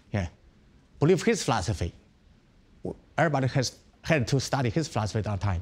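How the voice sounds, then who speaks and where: A man with a Chinese accent speaks at a very fast pace in an animated, somewhat breathy tone with very wide pitch swings. Long, frequent pauses break up his speech. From China. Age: 50s. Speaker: Shaolin monk, temple abbot. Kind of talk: interview. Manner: animated, repetitive. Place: home room. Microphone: lapel.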